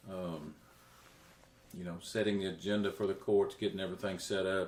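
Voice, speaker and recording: A man with a Central Texas accent speaks at a moderate pace in a fairly low pitch. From Texas, Coryell County. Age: 60s. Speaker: county judge candidate. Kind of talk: interview. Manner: halting.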